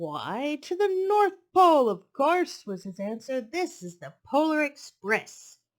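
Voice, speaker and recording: Using a put-on character voice, the speaker goes fairly slowly at a high pitch with very wide pitch swings. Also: hardly any pauses. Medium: read story.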